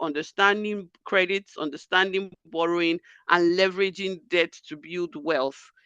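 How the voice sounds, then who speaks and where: A woman speaks with a bright, sharp tone. The sound is dry and close with no echo, over a quiet background. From Nigeria. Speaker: finance expert, workshop speaker. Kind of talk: lecture.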